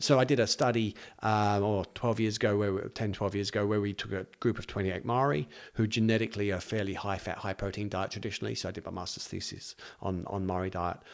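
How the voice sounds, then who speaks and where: On a very clean recording with a silent background, a man speaks at a very fast pace. His pitch is fairly low and his intonation fairly even. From England, north of London. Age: 40s. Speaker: clinical nutritionist. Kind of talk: casual interview.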